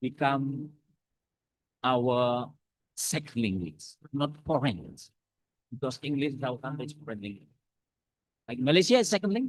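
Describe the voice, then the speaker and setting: Spoken at a moderate pace with an Indonesian accent, this voice has lively intonation, big swings in loudness, and long, frequent pauses. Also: man, fairly high pitch for a man. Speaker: academic speaker. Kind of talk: lecture. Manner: halting.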